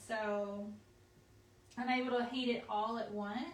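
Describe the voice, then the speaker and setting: Amid audible room echo and noticeable background noise, a woman speaks very slowly at a fairly high pitch in a monotone, flat way. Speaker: craft supply company staff demonstrating products. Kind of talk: live product tutorial. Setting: live video stream.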